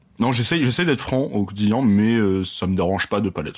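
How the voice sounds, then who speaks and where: A man with a fairly low pitch and ordinary pitch variation talks at a moderate pace while noticeable background noise goes on. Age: 20s. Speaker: audiovisual worker, podcast guest. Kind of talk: casual chat.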